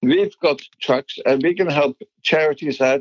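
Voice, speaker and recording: A man talks at a fairly slow pace with a fairly high pitch. The sound is dry and close with no echo. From Netherlands. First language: Dutch. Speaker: business founder. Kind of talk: interview.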